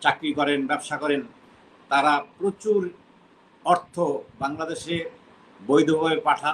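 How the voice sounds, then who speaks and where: With an ordinary speaking voice, a man talks at a fairly high pitch with fairly even intonation against light background noise. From Bangladesh. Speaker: expatriate businessman and insurance company chairman; interviewee. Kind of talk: interview, recounting his career. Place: home room. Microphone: video call.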